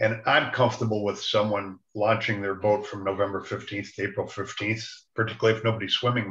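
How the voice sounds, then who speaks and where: Amid audible room echo, a man rattles along at a very fast pace with hardly any pauses, his fairly low voice monotone and flat. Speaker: zoning board member. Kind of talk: committee meeting. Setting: video call. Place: home room. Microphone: video call.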